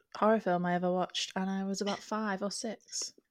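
Against a silent background on a very clean recording, a woman speaks at a medium pitch. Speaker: podcast co-host. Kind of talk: casual chat.

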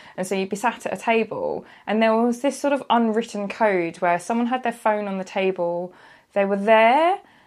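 Speech in a British accent comes at a moderate pace with ordinary pitch variation, on a very clean recording with a silent background. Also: woman. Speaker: freelance journalist. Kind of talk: casual chat.

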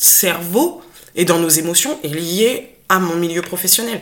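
A plain, everyday voice carries lively intonation. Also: woman. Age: 30s. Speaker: special educator. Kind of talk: personal testimony in conversation.

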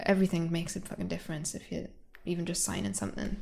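Talking at a fast pace, a woman with fairly low pitch and a slightly mellow tone lets vocal fry creep in.

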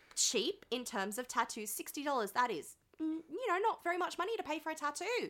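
An animated woman with an Australian accent speaks at a fairly quick pace in an extremely high pitch. Her tone is bright and sharp, with very wide pitch swings. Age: 20s. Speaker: podcast host. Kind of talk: casual chat. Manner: animated, jokey.

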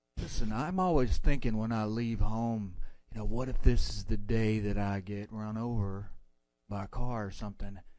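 With an American accent, a man talks at a moderate pace in a fairly low, dark and mellow voice, his loudness swinging widely amid audible room echo. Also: ordinary pitch variation. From Texas. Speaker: caller. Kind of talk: casual chat.

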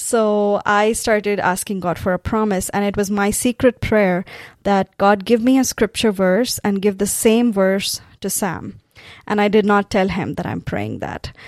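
A woman with a Tamil accent speaks fairly slowly at a medium pitch, her intonation monotone and flat. The recording is very clean, with a silent background. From South India, Tamil-speaking. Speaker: pastor. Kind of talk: testimony.

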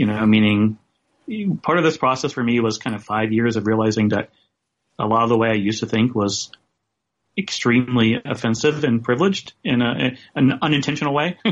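Using a normal speaking voice, a man talks at a fairly quick pace and a medium pitch with ordinary pitch variation. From US South. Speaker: photographer and writer. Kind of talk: interview.

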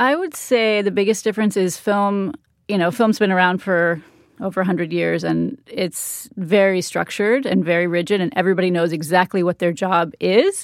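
A woman's medium-pitched voice at a moderate pace with ordinary pitch variation, on a very clean recording with a silent background. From Northern California. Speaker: performance capture producer. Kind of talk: interview conversation.

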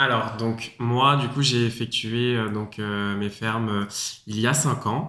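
Delivery is very slow. The intonation is fairly even throughout. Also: man, medium pitch for a man. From France, Paris. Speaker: student, former fruit picker. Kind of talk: casual interview.

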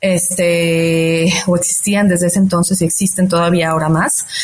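A woman speaks in a somewhat breathy voice of medium pitch. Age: 40s. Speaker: fintech founder. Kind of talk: interview. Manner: frequent fillers like este and eh.

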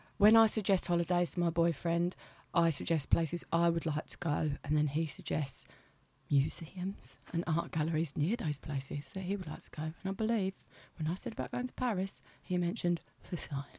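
Its tone is dark and mellow, somewhat breathy, and the pitch varies in an ordinary way. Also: woman, fairly low pitch for a woman, fairly quick pace. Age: 30s. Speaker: comedian. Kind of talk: casual chat. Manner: animated.

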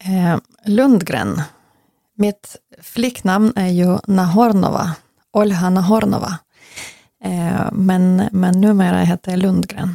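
In a dry, close sound with no echo, a woman with a Ukrainian accent speaks very slowly at a medium pitch, taking long, frequent pauses. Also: fairly even intonation. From western Ukraine, Lutsk. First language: Ukrainian (speaking Swedish). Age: 40s. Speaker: interviewee, Ukrainian emigrant. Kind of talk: interview. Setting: in person, host's home office.

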